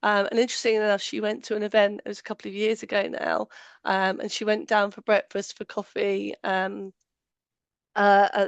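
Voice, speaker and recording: Against a quiet background, a woman with a British accent speaks at a fairly quick pace in a medium pitch, her intonation monotone and flat, the sound dry and close with no echo. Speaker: allergen safety trainer. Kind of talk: webinar presentation. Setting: online webinar. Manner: hesitant, many fillers.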